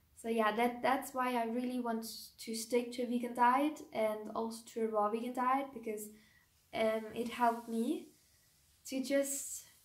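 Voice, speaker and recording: In a room with audible echo, a woman talks fairly slowly at a high pitch with fairly even intonation. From Germany. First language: German. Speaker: YouTuber, raw vegan lifestyle creator. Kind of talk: personal vlog, casual talk to camera. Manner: hesitant, with many ums and restarts.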